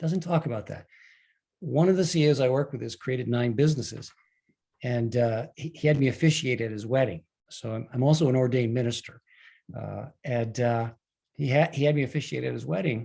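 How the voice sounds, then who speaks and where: A man's dark, mellow, somewhat breathy voice at a fairly quick pace, with ordinary pitch variation. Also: medium pitch for a man. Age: 70s. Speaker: leadership coach and author. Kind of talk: talk to an online group.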